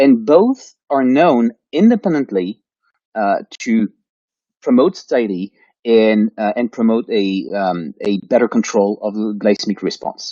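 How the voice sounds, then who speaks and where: This man speaks at a fairly slow pace and a medium pitch. His pitch variation is ordinary. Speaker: professor of nutrition sciences. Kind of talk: lecture. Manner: hesitant with fillers.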